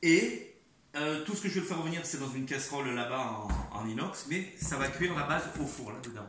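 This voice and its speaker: A man's fairly high voice with lively intonation at a moderate pace, amid noticeable background noise and audible room echo. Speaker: home cook making cooking videos. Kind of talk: cooking tutorial. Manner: halting, repeats words.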